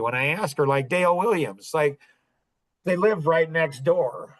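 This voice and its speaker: This man has a plain, everyday voice, pitched fairly high, with ordinary pitch variation and a fairly quick pace. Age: 60s. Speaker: podcast host. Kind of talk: casual chat. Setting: podcast.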